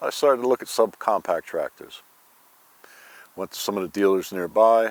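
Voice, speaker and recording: A man talks at a fairly quick pace in a relaxed tone, the sound dry and close with no echo. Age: 60s. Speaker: channel owner, tractor and firewood hobbyist. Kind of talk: casual video walkthrough. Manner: conversational, relaxed.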